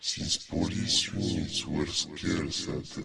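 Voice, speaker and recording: Over clear background noise, a man uses a put-on character voice and speaks at a very slow pace. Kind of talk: horror narration. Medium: read story. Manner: slow, suspenseful.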